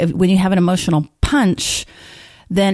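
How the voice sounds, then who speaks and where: Someone with an American accent talks at a fairly quick pace in an ordinary speaking voice. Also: woman. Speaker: therapist and podcast co-host. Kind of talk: casual discussion podcast.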